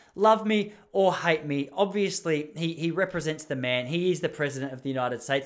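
Fairly quick speech from a man with an Australian accent. His pitch is fairly high and varies in an ordinary way. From Melbourne, Australia. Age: 30s. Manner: fast talker; rambling, self-correcting.

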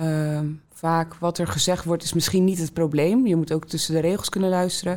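A woman speaks at a moderate pace with a fairly low pitch and ordinary pitch variation. Noticeable background noise runs under her voice. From Netherlands, Rotterdam South. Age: 20s. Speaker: student mentor. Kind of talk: interview. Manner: hesitant with fillers.

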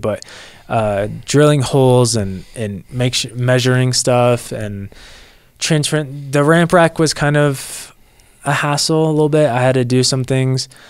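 Using an unremarkable speaking voice, a man keeps to a medium pitch and a moderate pace, and his pitch moves in an ordinary way. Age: 20s. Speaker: lawn care business owner. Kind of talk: casual interview.

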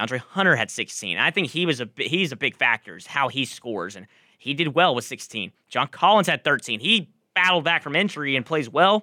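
This man talks at a fairly quick pace in a fairly high, bright, sharp voice with vocal fry, very wide pitch swings and big swings in loudness, on a very clean recording with a silent background and a dry, close sound with no echo. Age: 20s. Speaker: college radio sports co-host. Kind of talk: sports talk radio.

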